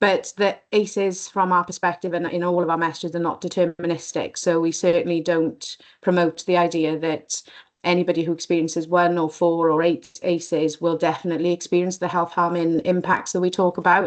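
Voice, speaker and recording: A woman speaks at a fairly quick pace in a fairly low pitch, her intonation monotone and flat. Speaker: public health trauma-informed practice lead. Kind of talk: webinar presentation. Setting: video call webinar. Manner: fast.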